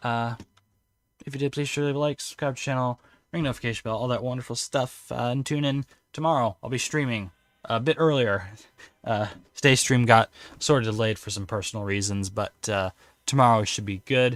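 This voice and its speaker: A man with an American accent, medium pitch, a fairly quick pace broken by long, frequent pauses, ordinary pitch variation, and a dry, close sound with no echo. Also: very clean recording, silent background. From United States. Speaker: video game streamer. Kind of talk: live gameplay stream commentary. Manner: casual, filler-heavy.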